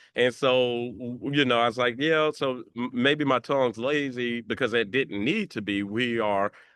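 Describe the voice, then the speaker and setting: With a strong Southern US accent, a man speaks with hardly any pauses and ordinary pitch variation. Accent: deep Southern drawl. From Mississippi, US South. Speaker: tech nonprofit founding leader. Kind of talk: panel discussion.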